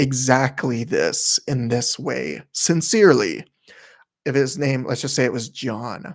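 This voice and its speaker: Speaking at a very slow pace, a man uses a medium pitch with ordinary pitch variation. Vocal fry runs through his voice. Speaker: ASMR livestreamer. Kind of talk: casual livestream chat. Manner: soft-spoken.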